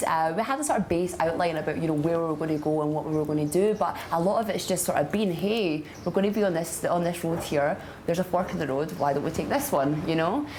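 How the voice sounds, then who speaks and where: A woman with a Scottish accent speaks at a fairly quick pace, her pitch fairly low, with hardly any pauses and very even loudness. Noticeable background noise and audible room echo surround her voice. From Scotland. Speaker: traveller in a love story. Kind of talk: casual interview. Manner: chatty, many fillers.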